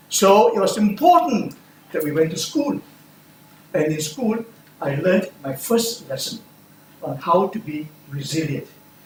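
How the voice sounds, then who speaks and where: Noticeable background noise sits behind a man with a high pitch and lively intonation. He talks at a fairly slow pace with long, frequent pauses. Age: 70s. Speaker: speech contestant. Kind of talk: speech.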